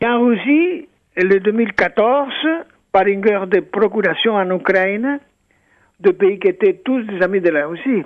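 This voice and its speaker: In a Spanish accent, a man with a high pitch speaks at a fairly slow pace, with ordinary pitch variation and long, frequent pauses. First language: Spanish (speaking French). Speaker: former ambassador. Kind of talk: radio interview. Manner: halting.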